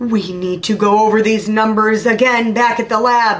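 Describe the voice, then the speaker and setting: A woman puts on a character voice, pitched fairly high. Her intonation is fairly even. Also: moderate pace. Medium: read story. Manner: authoritative, pompous.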